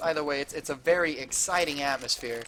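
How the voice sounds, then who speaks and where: Noticeable background noise surrounds a man speaking. His pitch is fairly high and his intonation fairly even. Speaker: esports caster. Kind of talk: casual chat; live commentary. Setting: LAN center, adjacent room to players. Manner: lowers voice at times.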